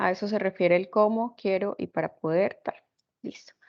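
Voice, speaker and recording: This woman has an ordinary speaking voice with ordinary pitch variation. She talks at a moderate pace. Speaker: programming instructor. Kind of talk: lecture.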